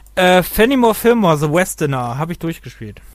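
Moderately paced male speech, a very clean recording with a silent background. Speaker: gaming podcast co-host. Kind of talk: casual chat.

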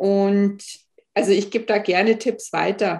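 Fairly slow, flat, monotone speech from a woman at a medium pitch. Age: 40s. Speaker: author and lipedema patient. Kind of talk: casual interview.

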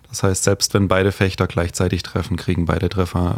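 A man's somewhat breathy voice moves at a fairly quick pace. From Heidenheim, Swabia. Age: 30s. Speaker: fencer. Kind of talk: casual chat.

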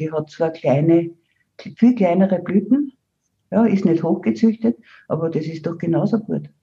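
Somewhat breathy, with a dark, mellow tone and fairly low pitch, a woman speaks at a moderate pace with ordinary pitch variation. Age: 70s. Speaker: herbalist and author. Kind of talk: interview.

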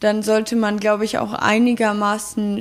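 A woman speaks at a very slow pace in a fairly high pitch. Her intonation is monotone and flat. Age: 20s. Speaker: social work student and hospice intern. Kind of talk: interview.

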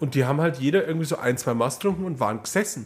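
His intonation is lively and his pace is very fast. This man sounds somewhat breathy. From Upper Palatinate (Neumarkt). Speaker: podcast co-host. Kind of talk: casual chat.

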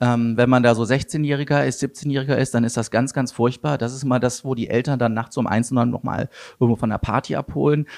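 A man speaks at a fairly quick pace and medium pitch with fairly even intonation, in a dry, close sound with no echo against a quiet background. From Germany, Wuppertal area (North Rhine-Westphalia). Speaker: tech startup CEO. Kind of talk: interview. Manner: hesitant, many fillers.

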